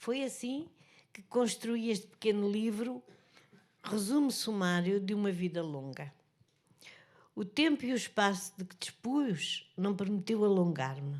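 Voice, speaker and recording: In a European Portuguese accent, the speaker moves at a fairly slow pace with long, frequent pauses, very wide pitch swings and big swings in loudness. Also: woman, medium pitch for a woman. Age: 80s+. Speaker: author and journalist. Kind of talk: book presentation speech. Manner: halting.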